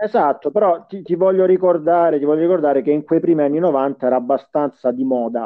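Speaking at a moderate pace with hardly any pauses, a man has an unremarkable speaking voice, fairly high in pitch, with ordinary pitch variation. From Salento, Puglia, southern Italy. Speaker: podcast co-host. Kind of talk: casual chat.

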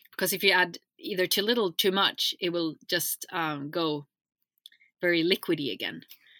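On a very clean recording with a silent background, a woman speaks at a moderate pace in a fairly low pitch with ordinary variation. Her tone is bright and sharp, and the sound is dry and close with no echo. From Sweden. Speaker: skincare formulator. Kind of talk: casual chat.

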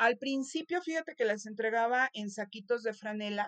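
A woman with a Mexican accent speaks with lively intonation. The sound is dry and close, with no echo. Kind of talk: interview. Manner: halting, frequent word repetitions.

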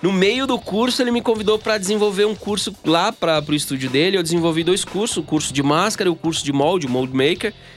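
With music in the background, a high-pitched man talks very fast with lively intonation, hardly any pauses and very even loudness. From Bahia backlands, Brazil. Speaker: sculptor and mold maker. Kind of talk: casual interview.

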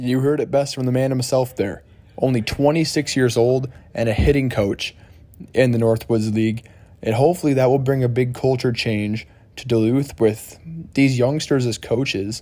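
A man's medium-pitched voice with an American accent, a dark, mellow tone, fairly even intonation and a moderate pace. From Michigan. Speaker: student podcast host. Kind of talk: casual interview; podcast intro/outro narration.

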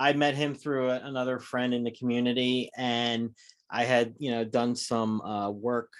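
A man with an American accent, medium pitch and monotone, flat intonation at a moderate pace. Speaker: horror podcast co-host. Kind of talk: casual interview chat.

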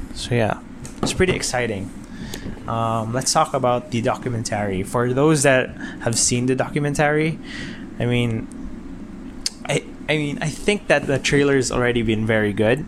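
Against noticeable background noise, a man speaks at a medium pitch and moderate pace with ordinary pitch variation and long, frequent pauses. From Philippines, Mindanao. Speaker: tech podcaster. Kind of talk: casual monologue. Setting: home bedroom. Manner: halting, many fillers.

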